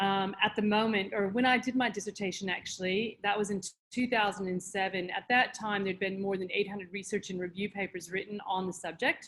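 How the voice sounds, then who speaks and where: Her medium pitch and fairly even intonation carry along at a fairly quick pace as a woman speaks. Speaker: meditation teacher with doctorate in parapsychic science. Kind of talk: podcast interview.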